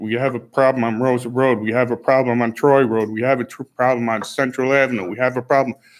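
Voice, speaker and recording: This man talks at a fairly quick pace in a normal speaking voice, medium in pitch, on a very clean recording with a silent background. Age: 60s. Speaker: resident speaking at public comment. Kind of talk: public comment at town board meeting. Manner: agitated, complaining.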